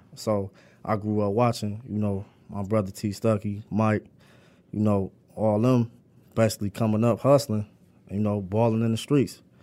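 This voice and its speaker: Over a silent background on a very clean recording, a man with a fairly low pitch and a dark, mellow tone talks in a flat monotone at a moderate pace, leaving long, frequent pauses. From Inkster and Detroit, Michigan. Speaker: formerly incarcerated author. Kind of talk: casual interview.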